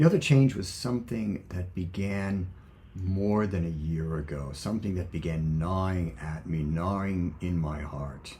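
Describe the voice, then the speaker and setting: A man speaks at a fairly slow pace in a very deep, low pitch. His pitch varies in an ordinary way, and there is audible room echo. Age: 70s. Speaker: former friar and video blogger. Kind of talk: personal reflection monologue. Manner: halting.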